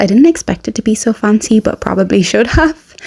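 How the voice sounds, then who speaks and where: A woman with an Irish accent speaks at a medium pitch amid noticeable background noise. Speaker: family travel vlogger. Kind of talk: casual vlog narration. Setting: outdoors on a balcony. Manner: soft-spoken; animated.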